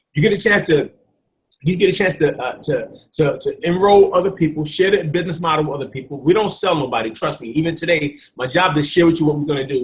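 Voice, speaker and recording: A man speaks with a New York accent at a very fast pace. His pitch is high, with ordinary variation. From New York City (Bronx). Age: 40s. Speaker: network marketing presenter. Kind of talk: sales pitch.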